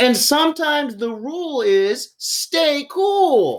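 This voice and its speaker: Her delivery is very slow. The woman puts on a character voice, pitched high. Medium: read story.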